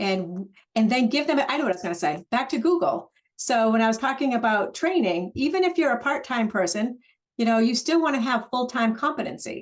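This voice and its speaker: A woman speaks at a fairly quick pace with lively intonation. Her pitch is fairly high. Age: 60s. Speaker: real estate broker. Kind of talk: webinar discussion. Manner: halting, many fillers.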